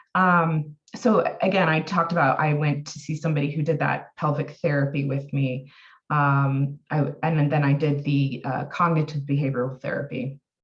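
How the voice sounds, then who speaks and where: Somewhat breathy, a woman speaks with a very deep, low pitch. She keeps a moderate pace with hardly any pauses. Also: fairly even intonation. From US Pacific Northwest, Oregon. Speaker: health and wellness coach, therapeutic harp practitioner. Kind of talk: personal testimony in podcast interview. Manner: halting, many fillers.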